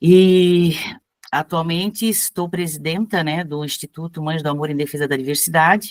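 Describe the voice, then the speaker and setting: In a dry, close recording with no echo, a woman with a normal speaking voice talks at a moderate pace, her fairly low pitch held in fairly even intonation. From Blumenau, Santa Catarina, southern Brazil. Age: 60s. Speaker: cultural activist and writer. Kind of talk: introduction in an online class. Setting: video call.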